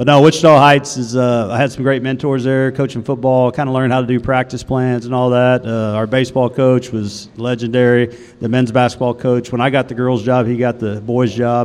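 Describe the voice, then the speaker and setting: A man with a Texan accent talks at a fairly quick pace and medium pitch, hardly pausing. His intonation is monotone and flat, and there is noticeable background noise. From Texas, Waco. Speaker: women's basketball head coach. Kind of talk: casual interview. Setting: on campus, student union.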